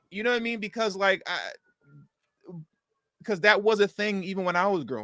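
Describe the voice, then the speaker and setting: Speaking at a fairly quick pace with long, frequent pauses, a man uses a high-pitched, raised, projected voice with a bright, sharp tone and fairly even intonation. His loudness swings widely, and the sound is dry and close with no echo. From US Midwest, Chicago south suburbs. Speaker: podcast host. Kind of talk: casual chat.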